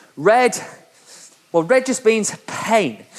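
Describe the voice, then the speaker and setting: Noticeable background noise sits behind a man's voice. He sounds animated, with ordinary pitch variation. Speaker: indoor cycling instructor. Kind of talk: guided workout session. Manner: fast; animated, motivational.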